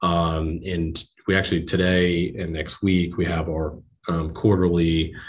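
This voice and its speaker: A man with an American accent, very deep and low, in a monotone, flat delivery with audible room echo. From New Jersey, US. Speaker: bank lending executive. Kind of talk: interview. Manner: halting, many fillers.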